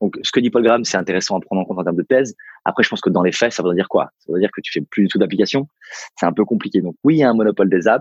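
Delivered at a very fast pace with ordinary pitch variation, the speech sounds dry and close with no echo against a quiet background. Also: man. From Paris suburbs, France. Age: 30s. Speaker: entrepreneur and venture investor. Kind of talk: interview. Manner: halting.

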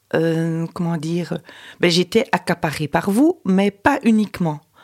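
Lively intonation from a woman at a fairly low pitch, very slow pace, dry, close sound with no echo. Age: 50s. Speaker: mother of the host. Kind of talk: personal testimony. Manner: halting.

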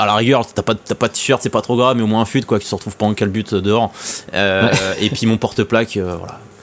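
Over noticeable background noise, a man speaks fairly quickly in a fairly low pitch with fairly even intonation. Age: 20s. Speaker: airsoft website co-founder. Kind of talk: casual chat.

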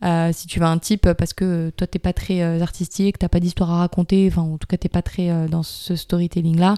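Dry, close sound with no echo and a woman's fairly low, dark, mellow voice, flat and monotone in intonation, at a fairly quick pace. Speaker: yoga teacher. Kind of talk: casual interview.

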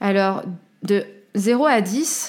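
A woman is talking. Her pitch shifts by an ordinary amount. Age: 30s. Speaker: life coach and podcast host. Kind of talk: solo self-help podcast talk.

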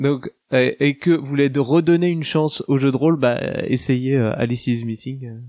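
With an Alsatian accent, a man speaks at a moderate pace. His pitch is fairly high and his intonation fairly even. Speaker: tabletop roleplaying guest. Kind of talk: casual chat.

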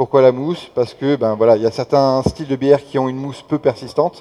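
Speaking at a fairly quick pace with fairly even intonation, a man has an unremarkable speaking voice. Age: 30s. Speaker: beer sommelier. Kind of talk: tasting workshop. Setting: beer festival with audience.

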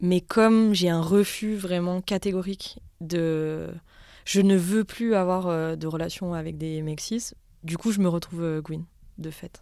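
Her voice fairly low, dark and mellow, a woman speaks very slowly with fairly even intonation and big swings in loudness, in a very clean recording with a silent background. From France, Haute-Savoie. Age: 30s. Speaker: social worker and writer. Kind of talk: casual conversation.

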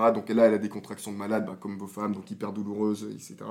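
The speaker is a man with a fairly low voice. He talks at a very fast pace. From Ivory Coast until 13, then France. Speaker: podcast guest, new father. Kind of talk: casual chat.

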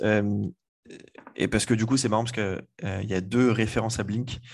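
Speaking at a moderate pace, a man with a fairly low voice shows ordinary pitch variation. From France, Le Mans. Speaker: podcast host. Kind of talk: casual chat.

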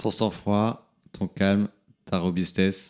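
In a dark, mellow tone, a man with a very deep, low pitch speaks with fairly even intonation on a very clean recording, the background silent. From southern France, near Montpellier. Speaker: podcast host. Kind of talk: interview. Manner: halting, repeated words.

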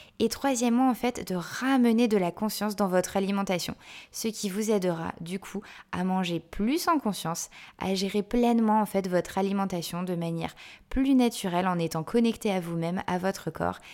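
Her pitch is medium, with ordinary variation. The woman speaks at a moderate pace. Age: 20s. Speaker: dietitian and nutritionist podcast host. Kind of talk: solo podcast monologue. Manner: hesitant, many fillers and repetitions.

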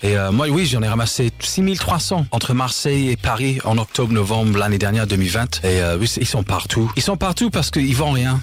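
Lively intonation from a man at a medium pitch, moderately paced, with noticeable background noise behind. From England, Leeds. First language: English (speaking French). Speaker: author and English teacher, litter-picking activist. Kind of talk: radio interview.

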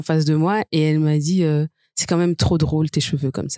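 Dark and mellow in tone, this voice moves at a fairly quick pace with fairly even intonation in a dry, close sound with no echo. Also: woman. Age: 30s. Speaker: lawyer. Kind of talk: debate.

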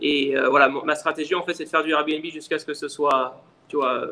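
A man with an unremarkable speaking voice talks at a moderate pace. His pitch is fairly high. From France, Lyon. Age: 30s. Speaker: short-term rental entrepreneur. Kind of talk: interview.

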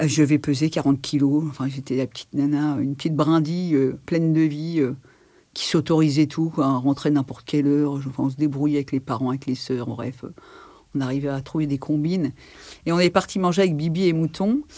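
This woman has a very deep, low voice with a dark, mellow tone. She talks fairly quickly with fairly even intonation. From Paris region, France (Algerian family). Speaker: interviewee sharing life story. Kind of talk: testimony. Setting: in-person interview. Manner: hesitant, many fillers.

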